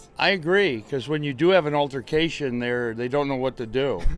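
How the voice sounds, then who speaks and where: A man with ordinary pitch variation talks at a moderate pace while music plays in the background. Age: 70s. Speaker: former baseball pitcher. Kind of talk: interview answer. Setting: outdoors.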